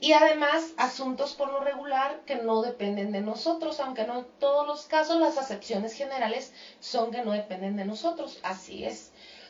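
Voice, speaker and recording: Noticeable background noise sits behind a woman's high voice with ordinary pitch variation. She talks at a moderate pace with hardly any pauses. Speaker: radio host. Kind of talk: radio talk show.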